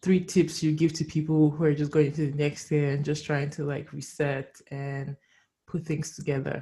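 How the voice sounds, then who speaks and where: A woman speaks in a very deep, low, somewhat breathy voice with monotone, flat intonation. The recording is very clean, with a silent background. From Nigerian family background. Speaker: podcast host. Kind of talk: casual chat.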